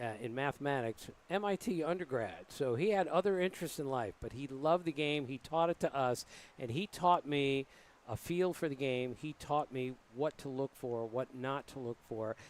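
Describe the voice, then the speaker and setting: In a dry, close recording with no echo, a man with an American accent and an unremarkable speaking voice talks at a moderate pace, his pitch fairly high with ordinary variation. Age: 60s. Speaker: baseball writer and TV analyst. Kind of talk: booth interview during live broadcast.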